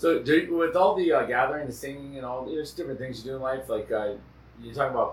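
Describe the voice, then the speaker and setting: Very fast speech over noticeable background noise. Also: man. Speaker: podcast host; traditional singer. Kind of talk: casual chat.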